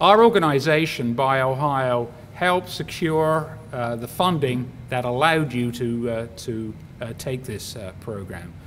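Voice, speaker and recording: Lively intonation and big swings in loudness mark this fairly slow delivery, heard with audible room echo. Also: man, medium pitch for a man. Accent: British. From UK. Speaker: bioscience industry executive, commencement speaker. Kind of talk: graduation speech. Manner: halting, many fillers.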